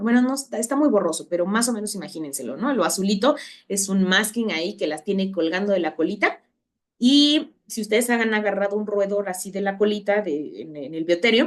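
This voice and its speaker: A woman with a normal speaking voice talks at a fairly quick pace and medium pitch, her intonation lively. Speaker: university lecturer. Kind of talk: online lecture.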